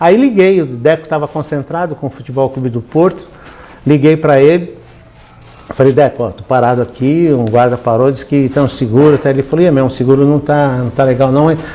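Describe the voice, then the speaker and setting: Noticeable background noise sits under the speech. The pace is fairly quick, with ordinary pitch variation. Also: man, fairly high pitch for a man. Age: 70s. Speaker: pastor. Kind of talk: sermon. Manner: animated storytelling.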